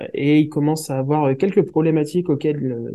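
A plain, everyday voice at a moderate pace. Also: man. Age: 30s. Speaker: project management expert and entrepreneur. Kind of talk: interview.

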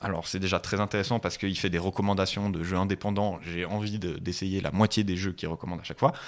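A man talks at a very fast pace with hardly any pauses. His pitch is very deep and low, in a very clean recording with a silent background. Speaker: podcast co-host. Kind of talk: casual chat. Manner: loud; animated.

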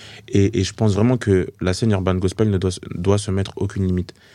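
The voice has a dark, mellow tone and monotone, flat intonation, captured on a very clean recording with a silent background. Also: man. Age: 20s. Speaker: gospel artist. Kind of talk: casual interview. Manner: hesitant, many fillers.

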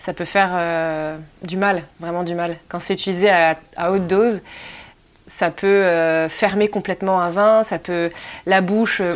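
The delivery is fairly slow and monotone, with flat intonation and long, frequent pauses. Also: woman, fairly low pitch for a woman, very clean recording, silent background. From Anjou, western France. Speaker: winemaker. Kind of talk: interview.

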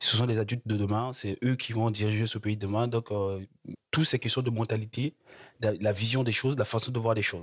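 At a fairly quick pace, a man with a medium pitch speaks with fairly even intonation and a somewhat breathy quality. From Republic of the Congo. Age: 20s. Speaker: student. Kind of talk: interview. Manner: halting.

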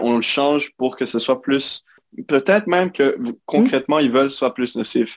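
A man with a Quebec accent speaks at a fairly high pitch. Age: 20s. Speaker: recent computer science graduate. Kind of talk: interview conversation. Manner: halting.

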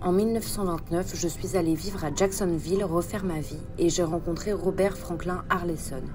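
Over music in the background, a calm, deadpan tone comes through at a fairly slow pace. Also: woman. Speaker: narrator playing a historical female killer. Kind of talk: true-crime first-person narration, dramatized confession. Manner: calm, matter-of-fact, deadpan.

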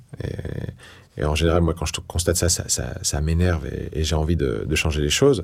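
With a very deep, low pitch and vocal fry, a man talks at a moderate pace with hardly any pauses. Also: ordinary pitch variation. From northeastern France, Toul near Nancy. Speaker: politician and author. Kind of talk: interview testimony. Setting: in-person recording in Paris. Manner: halting with many repetitions.

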